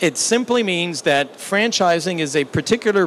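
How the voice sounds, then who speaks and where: Over noticeable background noise, a man talks with lively intonation at a high pitch. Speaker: business executive and seminar speaker. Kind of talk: business seminar presentation. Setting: seminar room with small audience and translation equipment. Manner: slow, deliberate.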